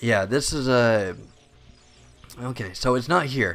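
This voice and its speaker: A quiet man's voice of medium pitch and ordinary pitch variation, in a very clean recording with a silent background. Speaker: gaming video creator. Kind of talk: let's play commentary. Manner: hushed, keeping voice down; halting, many fillers.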